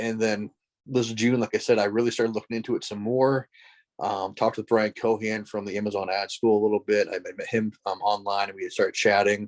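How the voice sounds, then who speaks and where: A man with an American accent and fairly low pitch speaks at a fairly quick pace in a monotone, flat intonation, recorded very cleanly against a silent background with a dry, close sound and no echo. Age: 40s. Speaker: author and education lecturer. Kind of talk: podcast interview.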